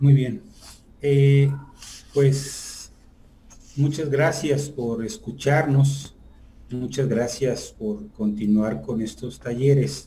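A man's somewhat breathy, dark, mellow voice at a very slow pace, with long, frequent pauses. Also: ordinary pitch variation. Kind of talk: lecture. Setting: video call.

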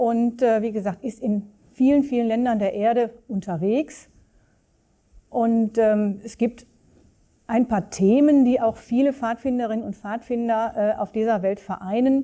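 A woman's fairly high, dark and mellow voice at a very slow pace, with fairly even intonation and a quiet background. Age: 50s. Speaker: association chairwoman and scout; interviewee. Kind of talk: interview; interview answer. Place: office.

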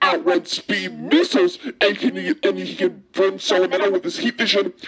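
Fairly slow delivery from a man doing a put-on character voice. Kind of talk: fandub voice acting. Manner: excited, gushing.

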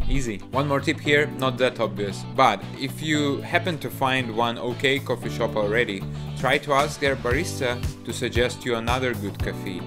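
A man talks at a moderate pace while clear music sounds behind him. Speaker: vlogger living abroad. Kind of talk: tutorial.

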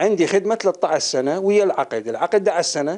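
The intonation is lively. The background is quiet. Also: man. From Iraq. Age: 60s. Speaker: retired power station employee. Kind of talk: interview testimony. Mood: aggrieved, complaining. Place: home room. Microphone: handheld.

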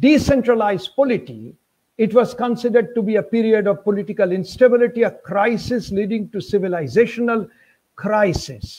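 Against a quiet background, a man with a Bengali accent talks at a moderate pace in a high voice with ordinary pitch variation. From Bengal, India. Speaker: university professor of history. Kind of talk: academic lecture. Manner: formal, measured. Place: home room. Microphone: webcam.

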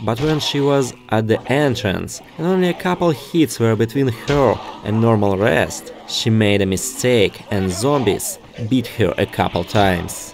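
Music plays behind a man who speaks fairly slowly at a medium pitch, his intonation lively and his loudness very even. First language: non-native English speaker. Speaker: gaming YouTuber. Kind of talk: gameplay story narration.

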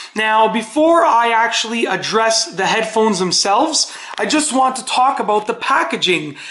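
This woman's speech, at an average speed, carries a noticeable echo from the room. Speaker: product reviewer. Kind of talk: product review. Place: kitchen. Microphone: camera far.

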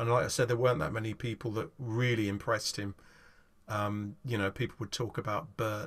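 This man speaks in an English accent at medium pitch. His intonation is fairly even. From England. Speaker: folk guitarist. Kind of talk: casual chat. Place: home room.

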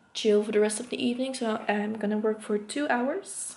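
A woman is speaking. Her intonation is fairly even. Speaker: student vlogger. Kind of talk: casual vlog chat. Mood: frustrated, a bit laughing. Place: home room. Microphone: phone near.

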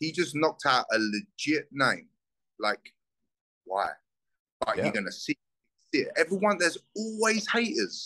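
A man talks in a South London accent at a moderate pace. His tone is animated, and the background is quiet. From Southeast London, England. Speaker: bare knuckle fighter; guest. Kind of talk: casual interview. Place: home room. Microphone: video call.

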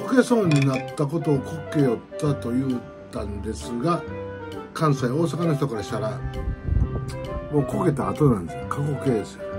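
Clear music plays in the background. Over it, a man speaks at a moderate pace. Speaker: dialect explainer vlogger. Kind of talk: casual talk about dialect. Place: home room. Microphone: phone near.

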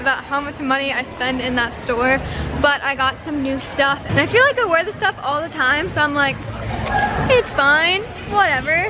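A woman speaks at a moderate pace, with music playing behind her. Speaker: vlogger. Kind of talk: casual vlog chat. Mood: relaxed, cheerful.

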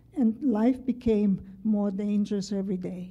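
A woman speaks at a fairly slow pace in a dark, mellow tone. Her voice is somewhat breathy, with ordinary pitch variation. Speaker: memoir writer. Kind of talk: reading aloud. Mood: calm, measured, serious. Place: classroom. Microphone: podium.

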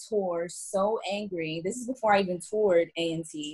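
A woman with an American accent speaks at a moderate pace and medium pitch, somewhat breathy, with fairly even intonation. The background is quiet. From New Jersey. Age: 20s. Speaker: university student. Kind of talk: casual chat. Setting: video call. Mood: animated, recalling frustration. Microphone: video call.

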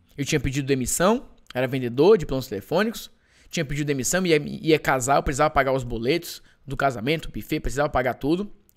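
With lively intonation and an animated tone, a man talks at a fairly quick pace. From Brazil, Ceará. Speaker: digital marketing entrepreneur and course seller. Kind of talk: live webinar sales pitch. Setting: online live stream.

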